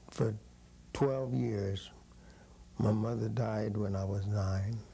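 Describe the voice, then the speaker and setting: A man with an American accent speaks at a fairly slow pace in a fairly low pitch, with ordinary pitch variation and audible room echo. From California, Paso Robles. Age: 80s+. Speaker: former baseball player. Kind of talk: oral history interview.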